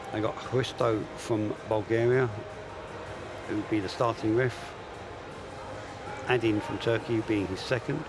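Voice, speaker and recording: Backed by music, a man with an English accent talks at a fairly slow pace and medium pitch, with fairly even intonation and long, frequent pauses. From England. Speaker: armwrestling commentator and referee coach. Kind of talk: live commentary.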